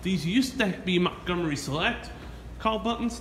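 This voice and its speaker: There is light background noise and audible room echo. Through it, a man speaks at a moderate pace. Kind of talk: casual narration commentary. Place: station. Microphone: phone near.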